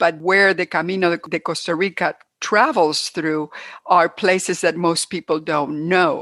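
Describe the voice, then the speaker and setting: A woman with a Cuban American accent, fairly low in pitch, fairly slow and fairly even in intonation, in a dry, close sound with no echo. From Cuba, then United States. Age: 70s. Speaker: hiker and trail organizer. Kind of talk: interview.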